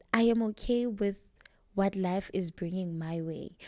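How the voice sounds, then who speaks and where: A woman speaks at a medium pitch and a fairly slow pace with a dark, mellow tone. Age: 20s. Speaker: podcast co-host. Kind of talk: casual chat.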